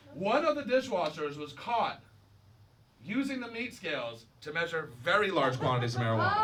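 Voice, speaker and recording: Loud and high-pitched, a man with an American accent swings his pitch very widely over noticeable background noise. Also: fairly quick pace. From Florida, Daytona Beach. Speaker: stand-up comedian. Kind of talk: stand-up. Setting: stage with audience.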